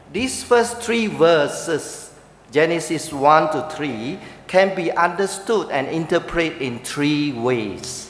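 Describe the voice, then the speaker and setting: A man with a Chinese accent speaks very slowly in a fairly high voice with lively intonation. Audible room echo and noticeable background noise fill the recording. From Malaysia. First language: Mandarin Chinese (speaking Vietnamese). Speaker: preacher. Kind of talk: sermon with interpreter. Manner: short phrases paused for interpreter.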